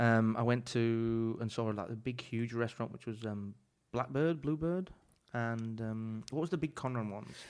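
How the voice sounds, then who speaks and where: On a very clean recording with a silent background, a man with a medium-pitched voice talks at a moderate pace with ordinary pitch variation. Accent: English. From England. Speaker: chef. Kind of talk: casual chat. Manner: animated.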